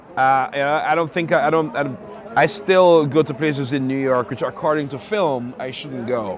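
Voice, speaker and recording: Noticeable background noise under a man's fairly high voice, with lively intonation at a moderate pace. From Jamaica. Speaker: novelist. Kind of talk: interview answer.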